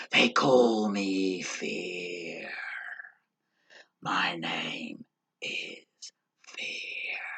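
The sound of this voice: A put-on character voice, low-pitched, raspy and hissing, moves at a very slow pace with long, frequent pauses.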